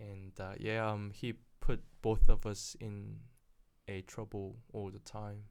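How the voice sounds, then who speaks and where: In a Korean accent, a man speaks at a very slow pace with monotone, flat intonation and big swings in loudness. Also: fairly low pitch for a man. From South Korea, then New Zealand from age 14. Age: 30s. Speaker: property investor. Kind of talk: casual interview.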